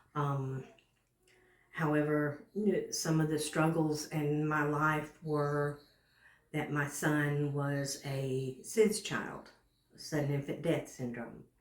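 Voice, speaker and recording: Amid audible room echo, a woman with a very deep, low pitch speaks very slowly with long, frequent pauses and fairly even intonation. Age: 60s. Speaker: home care client. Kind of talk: testimony. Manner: halting.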